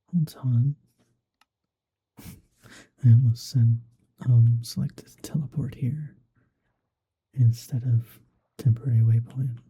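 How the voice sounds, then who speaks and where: Soft-spoken and somewhat breathy, a man at medium pitch talks very slowly in a dark, mellow tone with fairly even intonation. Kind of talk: ASMR gaming commentary.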